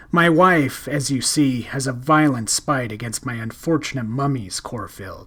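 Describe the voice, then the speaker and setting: Growling at a moderate pace, a man uses a put-on character voice of medium pitch with ordinary pitch variation. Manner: mildly amused.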